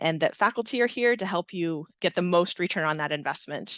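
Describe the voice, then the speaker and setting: Against a quiet background, a woman with a plain, everyday voice talks at a fairly quick pace in a fairly low pitch with ordinary pitch variation, the sound dry and close with no echo. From US, Navy family, moved often. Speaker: nursing professor, Navy veteran. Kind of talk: interview.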